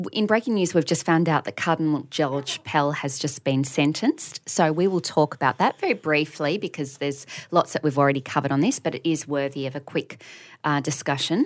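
In an Australian accent, a woman speaks with a very deep, low pitch. Her pace is fairly quick and her pitch varies in an ordinary way. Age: 30s. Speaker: podcast co-host. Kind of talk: casual chat.

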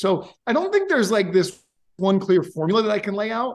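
Speaking in an animated tone, a man with a New York State accent has a high pitch. His pitch variation is ordinary. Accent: American, New York State. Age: 40s. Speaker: software company founder. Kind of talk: interview.

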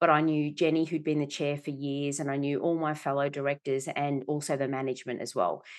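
A woman's very deep, low voice with an Australian accent, at a moderate pace over a quiet background. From Australia, Melbourne. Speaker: company director and executive coach. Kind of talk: interview. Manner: animated.

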